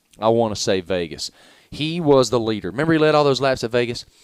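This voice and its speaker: With a Southern US accent, the speaker has lively intonation and an animated tone in a dry, close sound with no echo. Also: man. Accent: Southern drawl. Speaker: sports journalist. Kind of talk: radio interview. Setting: broadcast from racetrack.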